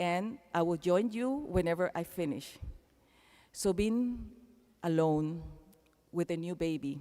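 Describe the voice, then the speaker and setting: Lively intonation and a dark, mellow tone mark this speaker with a Panamanian accent. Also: woman. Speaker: keynote speaker. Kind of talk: commencement speech. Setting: arena stage with audience.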